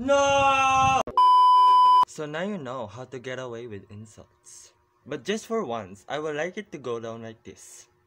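Over noticeable background noise, a man with a fairly high pitch speaks at a fairly slow pace with very wide pitch swings. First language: not English. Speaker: vlogger. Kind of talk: casual comedy talk to camera. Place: home room. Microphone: phone near.

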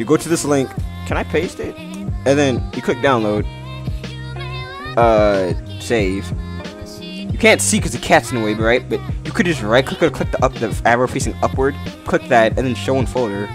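Music plays behind a man whose intonation is lively, broken by long, frequent pauses. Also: medium pitch for a man, moderate pace. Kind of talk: casual screen-recorded software tutorial. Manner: stuttering, halting.

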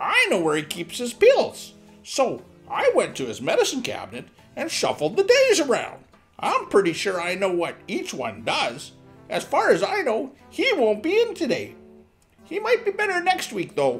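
Someone talks at a moderate pace while faint music plays in the background. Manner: smug, rambling, gleeful.

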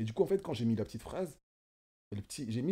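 Somewhat breathy and dark, mellow in tone, a man speaks with lively intonation. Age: 20s. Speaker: self-taught fashion designer; guest. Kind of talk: casual chat. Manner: halting, many fillers and repetitions. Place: home room. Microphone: studio mic.

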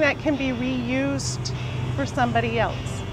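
A woman talks at a fairly slow pace, and the sound is dry with no echo. Music plays clearly in the background. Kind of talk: interview answer. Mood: friendly, smiling. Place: shop. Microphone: lapel.

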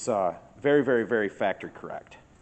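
We hear a man's voice. His speed is moderate. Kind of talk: casual walk-around commentary. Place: garage. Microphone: phone near.

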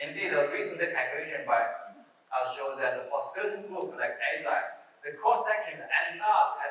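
With a fairly bright tone and lively intonation, a man speaks at a moderate pace with few pauses amid strong room echo.

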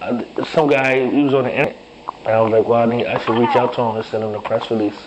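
Over noticeable background noise, the speaker talks at a very fast pace with ordinary pitch variation. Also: man. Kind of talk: casual phone conversation. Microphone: phone line.

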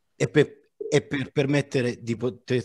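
A man speaks at a very slow pace with a medium pitch and a somewhat breathy quality. His pitch varies in an ordinary way, and the sound is dry and close with no echo. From Naples, Italy. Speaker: digital artist. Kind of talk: informal panel discussion.

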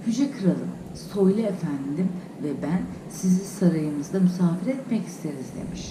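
The voice reads naturally. Its delivery sounds like ordinary reading.

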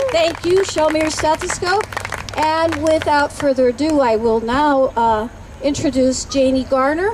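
A high-pitched woman at a fairly slow pace, her loudness very even, with noticeable background noise. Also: ordinary pitch variation. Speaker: rally emcee, nurses association president. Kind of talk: rally emcee introductions.

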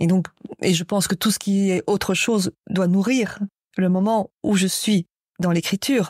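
A woman with a medium pitch speaks fairly slowly in a somewhat breathy voice, with fairly even intonation and very even loudness. The recording is very clean, with a silent background and a dry, close sound with no echo. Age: 60s. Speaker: writer and poet. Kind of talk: interview. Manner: halting.

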